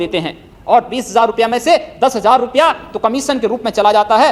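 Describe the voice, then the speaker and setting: A man's voice at an extremely high pitch, with ordinary pitch variation. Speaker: politician, member of parliament. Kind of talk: parliamentary speech. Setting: parliament chamber. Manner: passionate, forceful.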